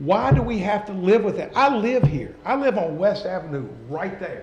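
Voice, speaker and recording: A high-pitched male voice with lively intonation, amid noticeable background noise and audible room echo. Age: 60s. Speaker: local investor speaking at a city council meeting. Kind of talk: public comment. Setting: city council meeting. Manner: animated.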